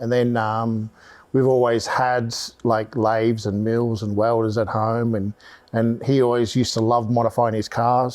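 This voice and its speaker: Medium-pitched male speech with an Australian accent, monotone and flat, at a moderate pace, in a very clean recording with a silent background. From Australia, Melbourne. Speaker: motorsport electronics specialist and race driver. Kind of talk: casual podcast chat.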